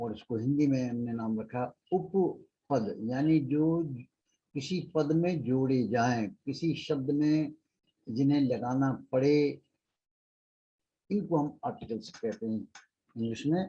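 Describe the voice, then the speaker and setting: Pausing long and often, a man speaks in a fairly high voice with a dark, mellow tone, somewhat breathy, with ordinary pitch variation. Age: 70s. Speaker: English teacher. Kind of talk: lecture.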